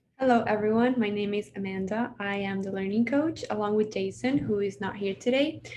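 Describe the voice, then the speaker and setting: Speaking with a Spanish accent, a woman keeps a medium pitch and ordinary pitch variation. Her pace is fairly quick. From Venezuela. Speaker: learning coach. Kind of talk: self-introduction.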